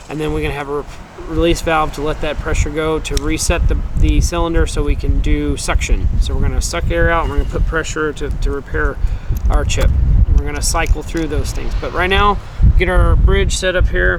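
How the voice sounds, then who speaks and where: The speech comes at a fairly quick pace with audible room echo and noticeable background noise. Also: man. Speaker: windshield repair technician. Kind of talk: tutorial. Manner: fast; casual, with fillers.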